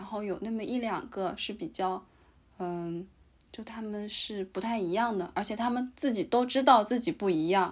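Pitched fairly high, a woman talks at a moderate pace with ordinary pitch variation. It is a plain, everyday voice. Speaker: podcast co-host, graduate student in Japan. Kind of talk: casual chat.

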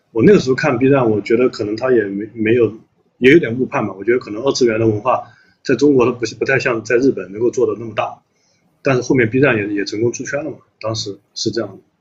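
The speaker goes at a very fast pace with fairly even intonation. The voice is somewhat breathy, with big swings in loudness. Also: man, medium pitch for a man. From Anhui, China. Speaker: company CEO. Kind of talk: casual chat.

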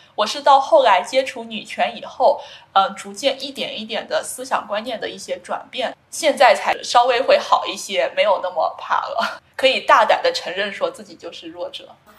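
A woman talks at a moderate pace, her loudness swinging widely. There is noticeable background noise. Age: 20s. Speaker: PhD student. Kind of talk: interview.

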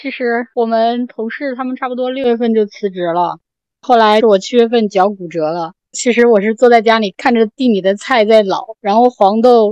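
With a normal speaking voice, a woman talks at a fairly high pitch and a moderate pace with ordinary pitch variation, in dry, close sound with no echo. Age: young. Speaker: small farmer living alone in a village. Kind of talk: casual podcast conversation.

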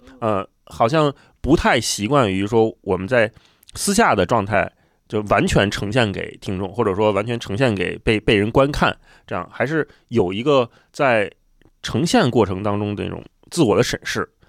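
In a very clean, dry and close recording with no echo and a silent background, a man uses a plain, everyday voice at medium pitch, with ordinary pitch variation and a moderate pace. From Beijing. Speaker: podcast host. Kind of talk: casual chat.

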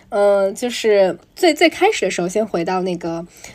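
A woman with a plain, everyday voice speaks at a medium pitch and a fairly slow pace, her intonation lively. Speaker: podcast host. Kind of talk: casual interview chat. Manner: mixes English words into Chinese.

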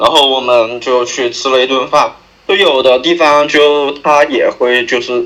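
A normal speaking voice from a man, medium in pitch, fairly slow in pace and fairly even in intonation. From Sichuan county town, China. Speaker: podcast guest sharing a story. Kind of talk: casual storytelling chat. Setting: remote call.

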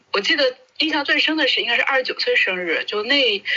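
Amid noticeable background noise, a woman speaks at a moderate pace in a high pitch with very wide pitch swings. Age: 30s. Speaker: media worker. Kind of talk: casual chat.

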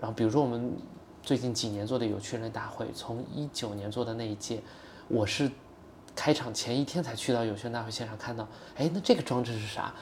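A somewhat breathy man speaks at a fairly quick pace. His medium pitch stays in fairly even intonation. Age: 30s. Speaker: startup founder. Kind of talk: casual interview conversation.

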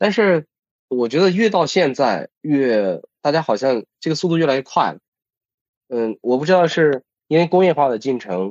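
A man with a fairly high pitch talks at a moderate pace and swings his pitch very widely. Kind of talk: casual chat.

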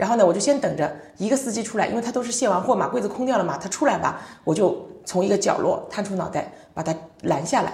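With lively intonation and an animated tone, a woman talks at a very fast pace in a room with audible echo. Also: medium pitch for a woman. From China. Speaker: logistics company general manager. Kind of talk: casual interview.

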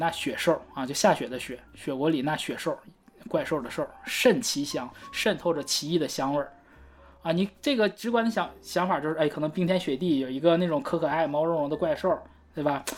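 A woman's very deep, low voice, fairly quick, with ordinary pitch variation and music in the background. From Northeast China. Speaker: podcast co-host. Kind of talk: casual chat about song lyrics.

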